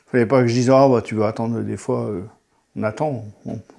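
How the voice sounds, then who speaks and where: The tone is dark and mellow. A man is the speaker. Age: 60s. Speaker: patient, former forklift driver. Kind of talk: testimony. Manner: halting, with many hesitations.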